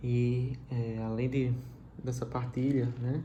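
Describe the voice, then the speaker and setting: Soft-spoken and monotone, a man with a Brazilian accent talks at a medium pitch in a room with audible echo. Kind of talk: scripture reflection. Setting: livestream from home.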